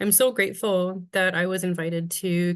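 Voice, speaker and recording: A woman with a Canadian accent, an ordinary speaking voice, medium pitch and a moderate pace, against a quiet background. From west coast of northern British Columbia, Canada. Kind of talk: webinar presentation. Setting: video call. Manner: warm, measured with frequent ums.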